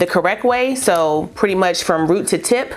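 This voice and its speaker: A woman's animated tone at a medium pitch, against noticeable background noise. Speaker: beauty vlogger. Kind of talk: tutorial. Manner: casual, animated.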